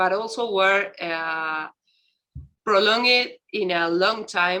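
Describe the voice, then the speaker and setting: At a very slow pace, a woman with an Argentine accent speaks in a bright, sharp tone at medium pitch with ordinary pitch variation. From Argentina. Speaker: university researcher. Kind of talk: round table discussion. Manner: halting.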